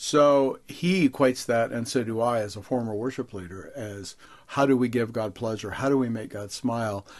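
A man at medium pitch in a plain, everyday voice, with ordinary pitch variation, a moderate pace and a quiet background. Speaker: guest author and leadership writer. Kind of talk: interview about his writing.

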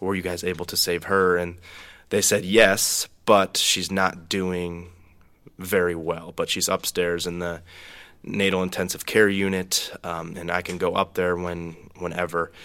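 A man speaks with an American accent in a very deep, low pitch and a bright, sharp tone. His intonation is monotone and flat, and his pace is fairly slow. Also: very clean recording, silent background. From Minnesota, US. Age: 20s. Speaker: young adults ministry leader. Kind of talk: personal testimony.

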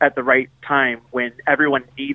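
With an unremarkable speaking voice, a man talks at a fairly slow pace in a fairly high pitch. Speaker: restaurant chain kindness officer. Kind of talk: casual interview. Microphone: connection broke up.

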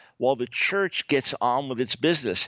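A man with an ordinary speaking voice, lively intonation, and a moderate pace. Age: 60s. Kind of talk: radio interview.

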